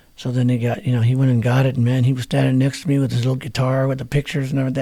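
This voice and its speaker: The voice has a dark, mellow tone and is somewhat breathy. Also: man. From New Mexico. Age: 60s. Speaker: musician. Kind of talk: interview. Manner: casual.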